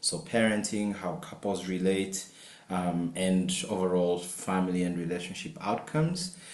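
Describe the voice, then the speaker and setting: Amid noticeable background noise and audible room echo, a man speaks at a moderate pace in a very deep, low voice. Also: ordinary pitch variation. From Uganda. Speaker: marriage and family therapist, professor. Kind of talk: webinar self-introduction. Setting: video call webinar.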